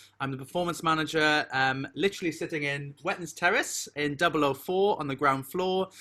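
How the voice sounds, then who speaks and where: Speaking with a Welsh accent, a man with a fairly high pitch and bright, sharp tone moves at a fairly quick pace with hardly any pauses and ordinary pitch variation. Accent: Welsh lilting. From South Wales. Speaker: university performance manager and composer. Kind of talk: online welcome session.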